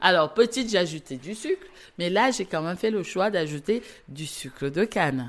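The speech moves at a moderate pace, with very wide pitch swings. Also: woman. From Cameroon. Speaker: chocolate maker. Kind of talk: interview. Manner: halting.

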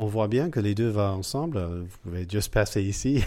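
A man speaks very slowly in a fairly low voice with an English accent. The recording is very clean, with a silent background. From United States. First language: English (speaking French). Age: 40s. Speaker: cycling café co-founder. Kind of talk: interview. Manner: halting, many hesitations.

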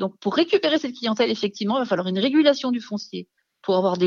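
This woman has an unremarkable speaking voice, pitched fairly high, and talks at a fairly quick pace with lively intonation. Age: 50s. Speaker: founder of a mountain resilience organization. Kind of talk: radio interview.

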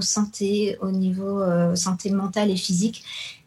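With monotone, flat intonation, a woman talks in a voice that is somewhat breathy. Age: 40s. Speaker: yoga teacher and nutritionist. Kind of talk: radio interview.

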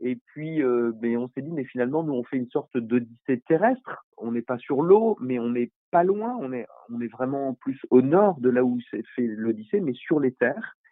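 Ordinary pitch variation marks a man's medium-pitched voice at a fairly slow pace. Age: 50s. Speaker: NGO founder. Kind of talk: interview. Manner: halting.

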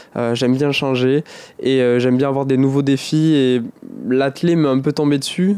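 A man talks at a moderate pace with a fairly high pitch. His loudness stays very even and his intonation fairly even. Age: 20s. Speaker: paralympic athlete. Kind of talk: interview. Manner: halting, frequent repetitions.

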